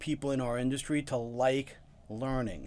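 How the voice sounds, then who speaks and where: With an American accent, a man with an unremarkable speaking voice talks at a medium pitch and a fairly slow pace in a very clean recording with a silent background. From New York, Long Island. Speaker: podcast host and UX researcher. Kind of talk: interview; scripted intro and outro.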